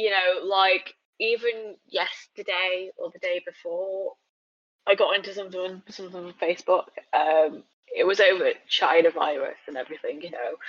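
A woman with a British accent and big swings in loudness. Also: moderate pace. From England. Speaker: podcast guest, transracial adoptee advocate. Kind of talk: casual chat.

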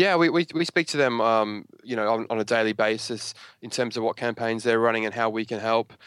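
A man with an Australian accent at a fairly quick pace, on a very clean, dry, close recording with no echo and a silent background. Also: medium pitch for a man, ordinary pitch variation. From Australia, Brisbane. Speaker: local government digital communications manager. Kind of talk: interview. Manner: halting, many fillers and repeats.

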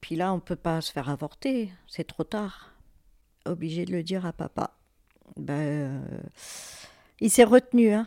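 Her pitch fairly low and her intonation lively, a woman talks at a fairly slow pace with long, frequent pauses. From France, Fontainebleau. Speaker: birth mother searching for her son. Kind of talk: personal testimony.

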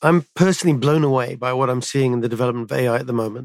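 In an ordinary speaking voice, a man at medium pitch talks with ordinary pitch variation and a dry, close sound with no echo. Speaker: podcast co-host, tech executive. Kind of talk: interview, scripted intro.

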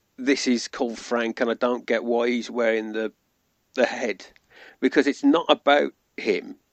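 Moderately paced speech in a British accent. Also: man. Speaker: podcast guest. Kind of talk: casual chat.

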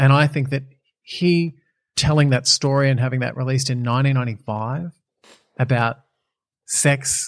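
A somewhat breathy man at a medium pitch and fairly quick pace, with an Australian accent. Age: 40s. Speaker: TV and radio presenter, reality show winner. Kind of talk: casual interview chat.

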